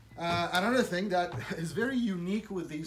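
A man's high-pitched voice at a fairly slow pace, with audible room echo

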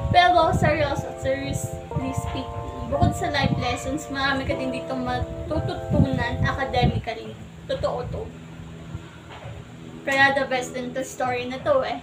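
A woman talks fairly slowly while loud background noise goes on. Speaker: book vlogger. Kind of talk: casual talk to camera. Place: home room.

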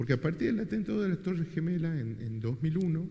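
This man's dark, mellow voice is somewhat breathy, with lively intonation and a moderate pace. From Argentina. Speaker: moderator. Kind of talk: moderated book presentation. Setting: event hall with audience. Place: hall.

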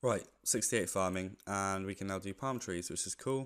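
A quiet man with a British accent and a fairly low pitch, on a very clean recording with a silent background. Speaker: gaming video creator. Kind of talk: gameplay commentary. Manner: quiet, subdued.

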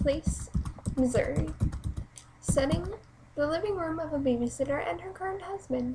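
A woman with a high pitch talks at a moderate pace over light background noise. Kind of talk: reading own play script aloud. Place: home room. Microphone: webcam.

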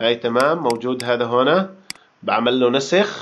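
His voice sits at a medium pitch. This man's pitch shifts in an ordinary way. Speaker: programming course instructor. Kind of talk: tutorial. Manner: casual, halting.

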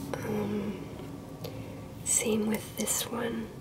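A woman with an American accent over loud background noise. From Ohio, USA. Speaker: collector. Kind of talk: softly spoken ASMR show-and-tell. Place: home room.

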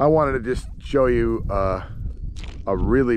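A man speaks with very wide pitch swings. The sound is dry with no echo, with noticeable background noise. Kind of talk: casual vlog chat. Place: open country. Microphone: phone near.

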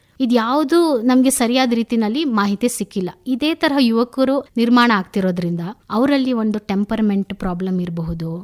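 A normal speaking voice comes through with a dry, close sound and no echo. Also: woman, fairly high pitch for a woman, lively intonation. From Hassan, Karnataka, India. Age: young. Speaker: psychologist and columnist. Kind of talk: radio interview.

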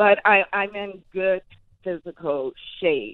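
In a quiet background with a dry sound and no echo, a woman of medium pitch speaks with an American accent. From Los Angeles. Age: 60s. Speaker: caller; interview guest. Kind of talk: casual chat. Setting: phone call. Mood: upbeat, humorous, self-assured. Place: studio.

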